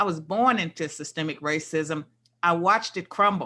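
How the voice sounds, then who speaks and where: A woman with an American accent speaks at a fairly low pitch in a bright, sharp tone. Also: quiet background. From US South, rural. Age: 60s. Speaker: political scientist, interview guest. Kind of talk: casual interview conversation.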